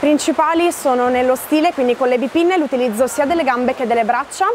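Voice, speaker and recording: Noticeable background noise surrounds a woman speaking in a high voice. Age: 20s. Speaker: athlete. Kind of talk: interview.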